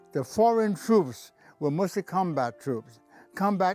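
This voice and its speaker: Over music in the background, a man with an American accent speaks with lively intonation. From New York City. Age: 80s+. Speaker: war veteran. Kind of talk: interview answer.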